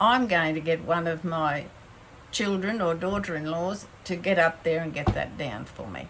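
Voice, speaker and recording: Audible room echo surrounds a woman speaking at a moderate pace in a fairly low pitch with ordinary pitch variation. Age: 70s. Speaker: faith vlogger. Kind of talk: casual talk to camera. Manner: halting.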